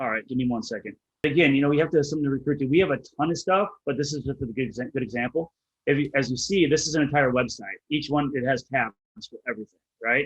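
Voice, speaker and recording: The sound is dry and close with no echo as a man speaks at a fairly high pitch with ordinary variation. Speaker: real estate business owner. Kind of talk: casual business interview. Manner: fast. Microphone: slow connection.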